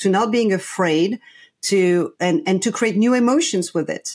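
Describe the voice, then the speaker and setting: A woman at a moderate pace and medium pitch, on a very clean recording with a silent background. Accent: French. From France. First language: French. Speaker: play coach and consultant. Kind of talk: podcast interview. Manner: halting, many fillers and restarts.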